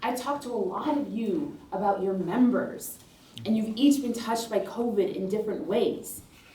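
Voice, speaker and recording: A woman speaks with an American accent at a moderate pace. Her fairly high pitch has ordinary variation. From Rochester, New York, USA. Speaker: politician, state senator. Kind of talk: campaign speech to union members.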